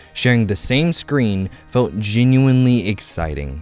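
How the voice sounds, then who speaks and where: Music plays behind a man whose voice sits at medium pitch. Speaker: film reviewer. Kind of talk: film review narration.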